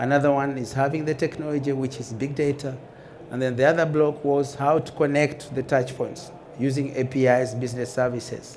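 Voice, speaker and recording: A man with an African accent, fairly high in pitch, with monotone, flat intonation and a fairly quick pace, amid audible room echo and noticeable background noise. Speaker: conference speaker, airline data manager. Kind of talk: conference talk. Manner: halting.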